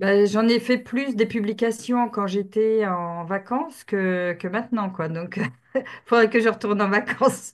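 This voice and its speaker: This woman has a plain, everyday voice with fairly high pitch. She talks at a fairly slow pace, and her pitch varies in an ordinary way. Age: 50s. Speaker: team member, new saleswoman. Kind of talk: casual group video call. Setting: video call.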